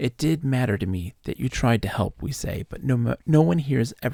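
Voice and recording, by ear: Lively intonation colors a passage being read aloud in a natural voice.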